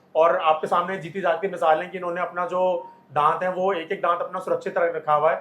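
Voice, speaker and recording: Against noticeable background noise, a man with a high pitch talks at a moderate pace in a monotone, flat intonation. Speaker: dentist. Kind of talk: explanation to camera.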